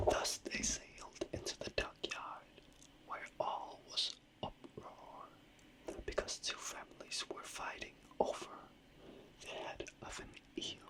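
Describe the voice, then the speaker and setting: Whispering in a relaxed tone at a very slow pace, a woman leaves long, frequent pauses over noticeable background noise. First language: not English. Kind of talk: whispered fairy tale storytelling, sleep story. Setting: ASMR microphone recording, late night. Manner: whispered, soft, slow, relaxed.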